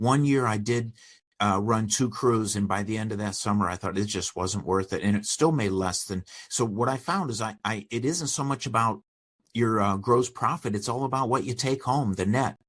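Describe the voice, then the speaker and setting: An unremarkable speaking voice, heard against a quiet background, keeps a moderate pace and ordinary pitch variation. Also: man, medium pitch for a man. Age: 60s. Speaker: small business owner and author. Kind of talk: interview.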